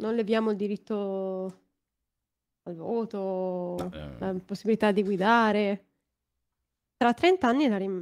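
Speaking very slowly at a medium pitch, a woman keeps her intonation fairly even. She leaves long, frequent pauses. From northern Italy, Varese; northern Italy. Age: 20s. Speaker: streamer. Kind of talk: casual chat. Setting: video call. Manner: sounds young. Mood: joking, relaxed. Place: home room. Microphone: studio mic.

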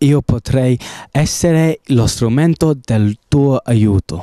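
Music plays in the background as a man with an English accent talks. His pace is very slow and his intonation lively. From England. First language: English (speaking Italian). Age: 18. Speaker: gap-year volunteer fundraiser. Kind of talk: fundraising appeal. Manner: formal.

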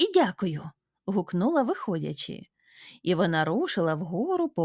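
Quiet background, with reading aloud in a natural voice

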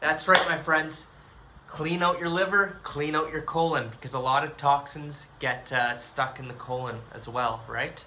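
Over noticeable background noise, a man speaks fairly slowly at a fairly high pitch, with ordinary pitch variation and big swings in loudness. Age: 30s. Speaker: YouTuber on spirituality and aliens; YouTuber on spirituality. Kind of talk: monologue video. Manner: animated. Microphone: phone near.

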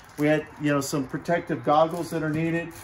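A man talks while light background noise is heard. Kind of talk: appeal to viewers. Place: garage. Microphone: phone near.

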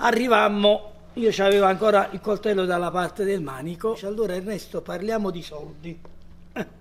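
A man speaks in a high pitch at a moderate pace, using ordinary pitch variation. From Italy. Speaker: actor. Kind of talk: public talk with audience, anecdotes. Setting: cinema hall with audience. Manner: animated storytelling.

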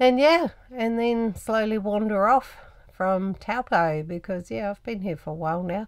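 The woman talks at a fairly slow pace against silence. Her pitch moves in an ordinary way. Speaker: travel vlogger. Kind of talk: casual vlog chat. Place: home room.

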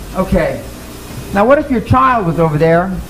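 With music playing in the background, a man speaks at a moderate pace, his pitch swinging very widely. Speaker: speaker. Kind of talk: motivational seminar talk. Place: meeting room.

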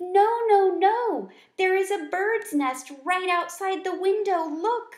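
With an audible echo, a woman uses a squeaky, put-on character voice at an extremely high pitch. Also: fairly slow pace. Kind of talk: read-aloud storytelling. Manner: urgent, excited.

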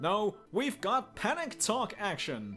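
Putting on a character voice, a man speaks in a high pitch with a bright, sharp tone and very wide pitch swings. He goes at a slow pace while faint music plays in the background.

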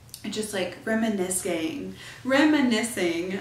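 A woman speaks at a very slow pace, with audible room echo. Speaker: podcast host. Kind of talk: casual podcast monologue. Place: home room.

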